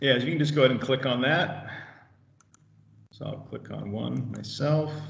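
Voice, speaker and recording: A man with a medium-pitched voice talks at a moderate pace, his intonation fairly even but his loudness swinging widely. Noticeable background noise and audible room echo come through. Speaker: IT trainer. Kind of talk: tutorial.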